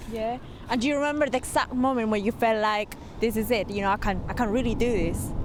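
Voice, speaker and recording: Over noticeable background noise, this woman's fairly high voice races along at a very fast pace. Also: ordinary pitch variation. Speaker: TV presenter. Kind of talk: TV interview questions.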